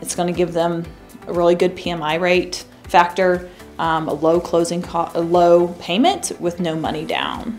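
With an American accent, a woman speaks in a monotone, flat way at a fairly low pitch while faint music plays in the background. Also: moderate pace. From US Midwest, mid-Missouri. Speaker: mortgage loan officer. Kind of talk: promotional interview. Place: studio.

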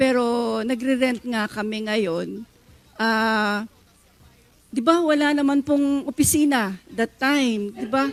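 Music plays behind a woman speaking at a very slow pace. Her pitch is fairly high. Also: ordinary pitch variation. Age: 60s. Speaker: retired police officer. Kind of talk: testimony. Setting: studio.

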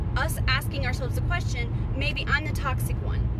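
Someone speaks at a fairly slow pace over loud background noise, with a dry sound and no echo. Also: woman. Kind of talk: casual vlog chat. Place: car. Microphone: phone near.

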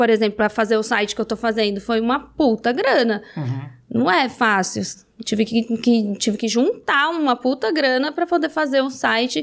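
Against a quiet background, a woman talks at a moderate pace with a fairly high pitch, lively intonation, very even loudness and hardly any pauses. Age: 30s. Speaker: reality show alum and adult content creator; adult content creator. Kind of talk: casual interview chat. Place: studio. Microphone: studio mic.

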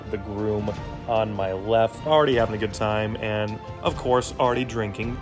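Over clear music in the background, a man talks at a moderate pace with a fairly low pitch. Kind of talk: casual vlog chat. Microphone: phone near.

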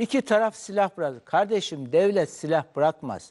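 Lively intonation and a dark, mellow tone mark this moderate-paced speech. The background stays quiet. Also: man. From Turkey. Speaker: political commentator. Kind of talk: heated debate. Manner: animated. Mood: serious, argumentative. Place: studio. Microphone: lapel.

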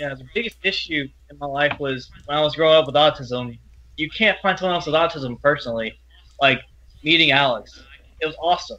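A man with an American accent talks at a fairly quick pace, his fairly high pitch showing ordinary variation. His loudness swings a lot. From Louisiana, US South. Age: 20s. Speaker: college student. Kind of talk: interview testimony. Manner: halting.

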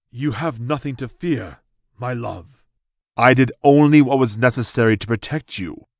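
A medium-pitched man at a moderate pace, in a very clean recording with a silent background. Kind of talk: archaic heroic speech. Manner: defiant and righteous, then tender and pleading.

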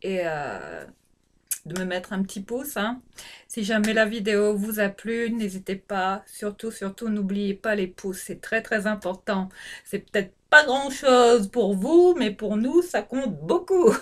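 A woman speaks at a very slow pace with lively intonation. The background is quiet. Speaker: beauty vlogger. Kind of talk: casual vlog chat. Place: bathroom. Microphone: phone near.

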